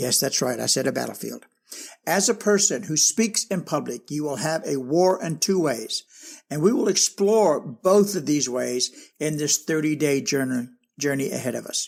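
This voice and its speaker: A man speaks at a moderate pace with a fairly high pitch, lively intonation and a plain, everyday voice. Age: 60s. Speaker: public speaking coach. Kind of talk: online course lecture.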